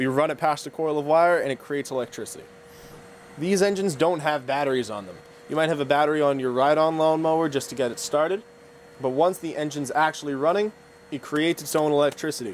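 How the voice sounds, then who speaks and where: Light background noise sits behind a man who talks at a very fast pace with ordinary pitch variation. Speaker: instructor. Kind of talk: tutorial. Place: workshop.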